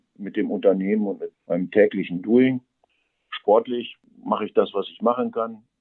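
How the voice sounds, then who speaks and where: The speaker's pitch swings very widely. The pace is moderate. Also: man. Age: 50s. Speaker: software company founder. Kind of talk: interview. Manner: energetic.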